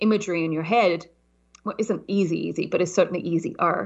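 This woman speaks at a medium pitch with a southern British accent. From southern England. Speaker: startup consultant. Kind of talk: interview conversation.

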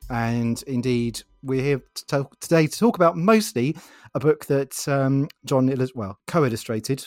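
In a dry, close sound with no echo, a man speaks with a British accent. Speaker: interviewer, podcast host. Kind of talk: interview.

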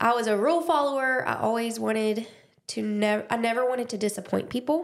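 A woman with an Alabama accent speaks at a fairly quick pace, her fairly high voice showing ordinary pitch variation. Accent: Southern US (Alabama). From US South, Dothan, Alabama. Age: 20s. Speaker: podcast host. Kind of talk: casual chat, personal testimony.

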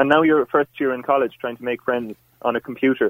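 A fairly quick, medium-pitched man's voice in an Irish accent, with fairly even intonation. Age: 20s. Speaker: university student caller. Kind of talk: call-in debate. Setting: phone call.

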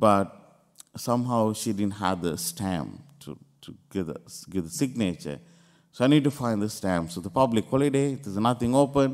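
The intonation is lively. The pace is moderate. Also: man, fairly low pitch for a man, big swings in loudness. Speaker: priest. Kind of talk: homily with personal testimony. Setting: church. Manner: earnest, halting, emotional.

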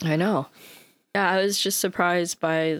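In a plain, everyday voice, a woman with an American accent speaks at a fairly low pitch on a very clean recording with a silent background. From United States. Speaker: podcast co-host. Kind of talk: casual chat.

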